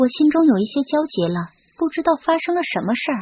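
Her voice has a slightly husky edge as the woman talks at a fairly quick pace with lively intonation.

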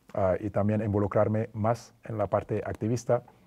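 A man's fairly low voice, dark and mellow in tone, with monotone, flat intonation and a quiet background. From Senegal. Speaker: former basketball player; interview guest. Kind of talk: interview. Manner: hesitant with fillers. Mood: calm, reflective, friendly. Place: studio. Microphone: lapel.

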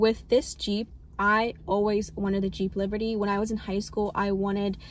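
At a moderate pace, a woman speaks with monotone, flat intonation in a dry sound with no echo. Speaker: vlogger. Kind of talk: casual vlog chat. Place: car. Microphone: phone near.

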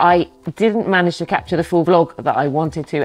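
A woman speaks with fairly even intonation. Faint music plays in the background. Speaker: photographer vlogger. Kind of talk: casual vlog chat. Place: home room.

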